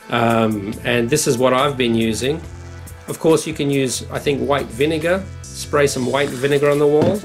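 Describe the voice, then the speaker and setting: Against background music, a man talks at a medium pitch. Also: ordinary pitch variation, moderate pace. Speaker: cottage renovator. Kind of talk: casual talk to camera.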